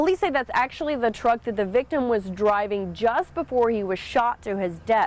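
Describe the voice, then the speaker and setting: An ordinary speaking voice, a woman with an American accent, fairly high in pitch, lively in intonation, at a moderate pace with hardly any pauses. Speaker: television reporter and anchor. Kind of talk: TV news live shot and standup reporting. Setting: outdoors on location.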